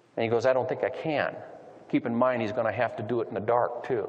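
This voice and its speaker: A man with an American accent, fairly quick in pace, amid noticeable background noise. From US Midwest, Missouri. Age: 50s. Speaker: police officer and UFO investigator. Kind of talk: lecture. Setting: stage with audience. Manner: humorous storytelling.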